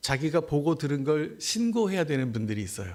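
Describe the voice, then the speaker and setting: Over a very clean recording with a silent background, a man with a fairly high pitch talks at a fairly slow pace. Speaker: missionary preacher. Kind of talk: sermon. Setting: church service. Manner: halting.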